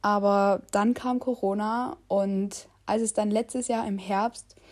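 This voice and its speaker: Her tone is dark and mellow. The woman's fairly high voice keeps a fairly even intonation. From Saxony, Germany. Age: young. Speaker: travel podcaster. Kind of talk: casual monologue. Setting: home, sitting on a sofa.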